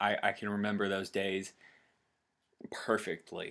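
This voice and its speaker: A man with a Tennessee accent, fairly low in pitch and bright, sharp in tone, at a fairly slow pace on a very clean recording with a silent background. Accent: US Southern (Tennessee). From Tennessee, Chattanooga. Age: 20s. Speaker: vlogger. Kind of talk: personal testimony vlog. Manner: halting, many fillers.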